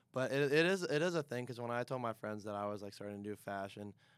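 A man's very fast-paced talk. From Pittsburgh, Pennsylvania. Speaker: college student. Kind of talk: casual chat.

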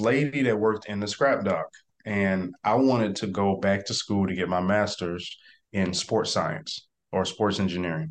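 Ordinary pitch variation runs through speech at a moderate pace, with a quiet background behind it. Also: man. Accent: Mississippi. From US South, South Mississippi (Biloxi/Gulfport area). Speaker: real estate investor. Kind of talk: interview. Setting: video call.

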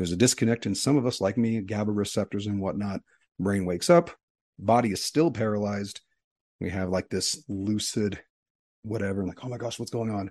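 Against a quiet background, a man with a plain, everyday voice talks at a fairly quick pace with fairly low pitch and ordinary pitch variation. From East Texas, raised in Utah from age five. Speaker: podcast co-host, physician scientist. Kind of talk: casual conversation.

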